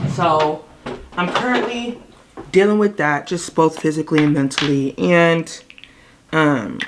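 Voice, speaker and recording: A woman's very deep, low voice with lively intonation and long, frequent pauses, amid noticeable background noise. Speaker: vlogger. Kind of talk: casual vlog talk. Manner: low, quiet voice.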